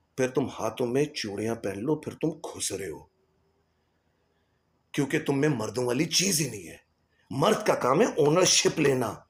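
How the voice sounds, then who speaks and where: The voice is somewhat breathy, with lively intonation. Its loudness swings widely. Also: man. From Islamabad, Pakistan. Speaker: singer and voiceover artist. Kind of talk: podcast commentary to camera.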